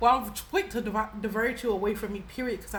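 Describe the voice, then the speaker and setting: A woman is speaking. There is audible room echo and noticeable background noise. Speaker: spiritual reader and YouTuber. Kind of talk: casual storytelling monologue. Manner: animated, passionate.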